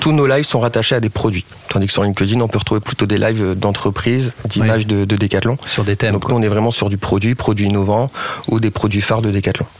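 Over noticeable background noise, a man with a fairly low pitch talks at a very fast pace, his intonation fairly even and his loudness very even. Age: 30s. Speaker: digital live-shopping project lead. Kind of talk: radio interview.

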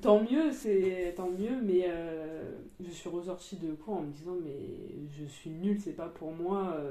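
A woman's very slow speech at a fairly low pitch with ordinary pitch variation, audible room echo and noticeable background noise. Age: 20s. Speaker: psychomotor therapy student and yoga practitioner. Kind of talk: interview. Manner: hesitant, many fillers.

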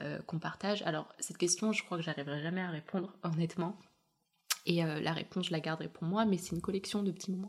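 The speech races at a very fast pace with fairly even intonation. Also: woman, fairly low pitch for a woman. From Chechnya region, Russia; raised in France from age 7. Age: young. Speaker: dressmaker and fashion designer. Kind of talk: interview testimony. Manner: hesitant, many fillers.

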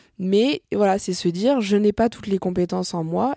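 A woman at a moderate pace, dry and close with no echo, in a very clean recording with a silent background. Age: 30s. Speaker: entrepreneur. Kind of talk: interview. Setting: office. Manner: hesitant, many filler sounds.

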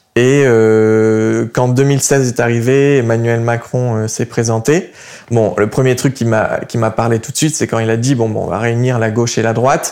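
At a fairly slow pace, a man speaks with fairly even intonation at a medium pitch. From southern France, Montpellier. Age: 20s. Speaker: young political activist. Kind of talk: interview. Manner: halting.

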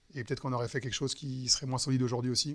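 Bright and sharp in tone, a man at medium pitch talks at a very fast pace in a monotone, flat intonation. The recording is very clean, with a silent background. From western France, Nantes. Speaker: wealth management entrepreneur. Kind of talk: interview conversation. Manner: hesitant, many fillers.

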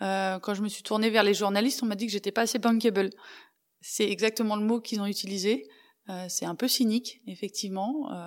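A woman's ordinary speaking voice at a fairly quick pace, with fairly even intonation, on a very clean recording with a silent background. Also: fairly high pitch for a woman. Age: 40s. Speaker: former hockey player and international referee. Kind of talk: interview testimony. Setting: studio.

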